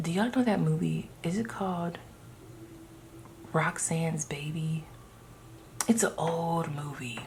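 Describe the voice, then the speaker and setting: A woman at a fairly low pitch and fairly slow pace, with ordinary pitch variation, long, frequent pauses and noticeable background noise. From Ohio, US. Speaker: tarot reader. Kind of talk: tarot reading to camera. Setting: indoors by open window. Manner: loud; animated.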